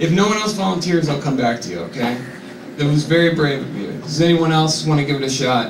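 Lively intonation marks this man's fairly quick delivery. Noticeable background noise sits behind him. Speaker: comedian. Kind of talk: stand-up comedy bit. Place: stage.

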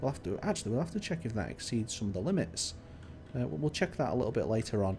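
A man speaks in a somewhat breathy voice. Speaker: gaming YouTuber and server host. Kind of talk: video tour commentary. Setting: screen recording voiceover. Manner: casual, conversational.

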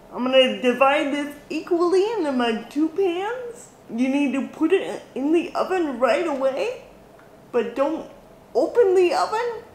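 Recorded with light background noise and audible room echo, a woman speaks in a high voice at a fairly slow pace. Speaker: baking vlogger. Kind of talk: casual vlog chat. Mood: cheerful, upbeat. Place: kitchen. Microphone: camera far.

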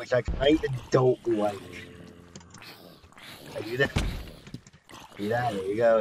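Fairly slow speech with long, frequent pauses, a dry sound with no echo and noticeable background noise. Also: man. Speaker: gaming YouTuber. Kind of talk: casual gameplay commentary. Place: home room.

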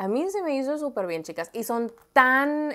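A woman's animated, lively-intoned voice against a quiet background. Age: 20s. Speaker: lifestyle vlogger. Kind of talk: shopping haul vlog. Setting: home studio under hot lights. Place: home room. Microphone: lapel.

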